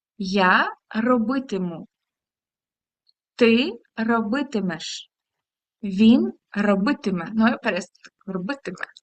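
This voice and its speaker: Her voice sits fairly high in pitch. She speaks with lively intonation. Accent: Ukrainian. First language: Ukrainian (speaking Portuguese). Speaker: language teacher. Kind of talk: lesson. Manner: halting.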